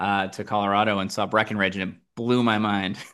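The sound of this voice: A man talks at a fairly quick pace with an American accent. His fairly low voice has a fairly bright tone and little pitch movement.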